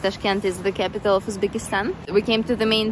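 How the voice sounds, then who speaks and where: Noticeable background noise sits behind a woman whose voice sounds dry, with no echo. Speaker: travel vlogger. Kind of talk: casual vlog chat. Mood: cheerful, laughs often. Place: street. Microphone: phone near.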